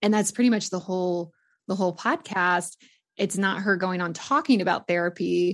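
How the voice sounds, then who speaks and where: A woman's normal speaking voice at medium pitch, with moderate pace, ordinary pitch variation and a quiet background. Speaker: podcasting coach. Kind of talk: casual interview.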